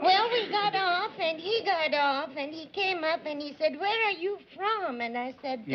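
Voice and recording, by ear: Against noticeable background noise, a woman speaks fairly slowly at an extremely high pitch with lively intonation and hardly any pauses.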